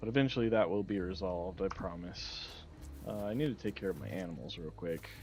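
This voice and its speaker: Over background music, a man talks very fast in a very deep, low voice with lively intonation. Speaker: gaming streamer. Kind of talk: live gameplay commentary. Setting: livestream. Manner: talks low.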